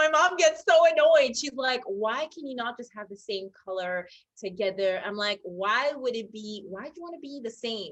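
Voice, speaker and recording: At a moderate pace, a woman with an American accent speaks at a fairly high pitch with very wide pitch swings. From international, expat child; born UK. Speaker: stylist. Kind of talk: interview.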